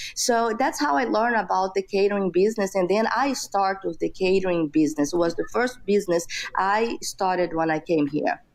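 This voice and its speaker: A woman with a Brazilian Portuguese accent talks at a fairly quick pace with hardly any pauses, her medium pitch carrying lively intonation at a very even loudness. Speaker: entrepreneur. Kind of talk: interview. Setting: podcast interview. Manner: many fillers like you know.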